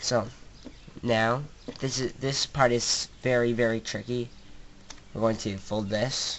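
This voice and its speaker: Long, frequent pauses interrupt a very slow delivery. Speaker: origami tutorial maker. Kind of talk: tutorial. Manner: halting, stuttering; hesitant, many fillers.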